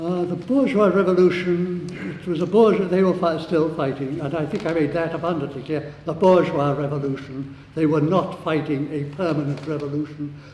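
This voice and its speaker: With a Welsh accent, a man talks at a moderate pace with hardly any pauses, his fairly high pitch and fairly even intonation heard over noticeable background noise and audible room echo. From Wales. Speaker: socialist activist speaker. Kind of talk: debate summing-up speech. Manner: halting, many fillers and restarts.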